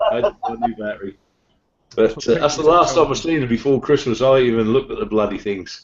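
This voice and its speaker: This man talks at a very fast pace with lively intonation. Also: medium pitch for a man. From England, Suffolk. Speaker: motorcycle vlogger. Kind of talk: casual chat. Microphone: laptop mic.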